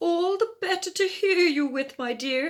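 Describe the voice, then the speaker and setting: Using a put-on character voice at an extremely high pitch, a woman speaks at a moderate pace on a very clean recording with a silent background. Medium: read story. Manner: sly, sweet-talking.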